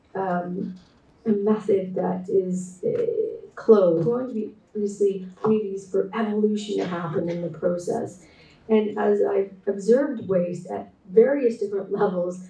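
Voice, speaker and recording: Over audible room echo, a woman with a Canadian accent talks at medium pitch and a moderate pace, with fairly even intonation. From Canada. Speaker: textile artist and designer, keynote speaker. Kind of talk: conference presentation. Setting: remote talk joining online. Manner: hesitant with frequent fillers and repetitions.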